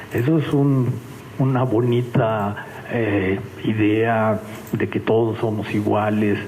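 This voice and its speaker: A man's voice over noticeable background noise, with audible room echo. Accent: Mexican. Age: 70s. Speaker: engineer and science museum official. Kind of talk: conference talk. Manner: conversational, with frequent fillers.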